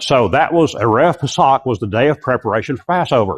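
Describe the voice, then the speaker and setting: A man at medium pitch speaks with lively intonation. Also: dry, close sound with no echo. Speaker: Bible teacher. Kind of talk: lecture. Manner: fast.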